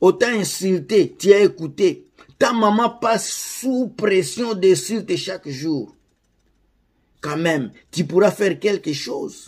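Over a quiet background, a man with a high pitch and lively intonation speaks at a very slow pace with long, frequent pauses. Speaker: YouTuber commenting on Congolese celebrity news. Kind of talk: angry rant, indignant commentary directed at the camera. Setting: online video, addressing viewers. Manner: indignant, ranting, stumbling and repeating words.

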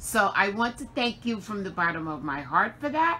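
This woman's voice has a bright, sharp tone. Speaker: crafting channel host. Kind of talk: casual vlog chat. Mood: warm and grateful. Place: home room. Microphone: phone near.

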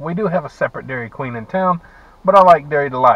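A man speaks in a dry sound with no echo. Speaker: vlogger. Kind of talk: casual vlog chat. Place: car.

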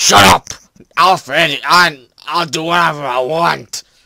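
Using a raspy, put-on character voice at a fairly high pitch, a man speaks at a fairly slow pace. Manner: angry, shouting.

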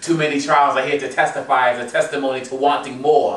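Audible room echo surrounds a man speaking fairly quickly in a flat monotone at a fairly high pitch. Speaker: spoken word poet. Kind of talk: spoken word poetry performance. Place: home room. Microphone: camera far.

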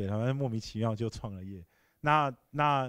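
A man's lively, fairly quick speech in a dry sound with no echo against a quiet background. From Taiwan. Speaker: tech company founder and CEO; guest. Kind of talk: Q&A answers. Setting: lecture hall with audience. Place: hall. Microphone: handheld.

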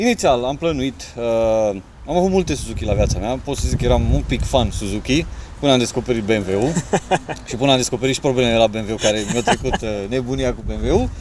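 Over light background noise, a man speaks at a fairly quick pace with ordinary pitch variation and a dry sound with no echo. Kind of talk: interview answer. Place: waterside.

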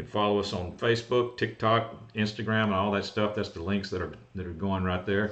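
A man's unremarkable speaking voice, fairly low in pitch, at a moderate pace with fairly even intonation. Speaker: golf cart repair host. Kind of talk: livestream Q&A explanation. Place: office. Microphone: webcam.

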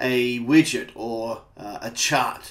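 The setting behind the voice is quiet. The speaker is a man. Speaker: software trainer. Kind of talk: tutorial. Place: home room.

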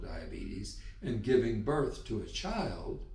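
The room echo is audible here. A man speaks at a very slow pace. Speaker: health educator. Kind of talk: educational explainer. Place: home room.

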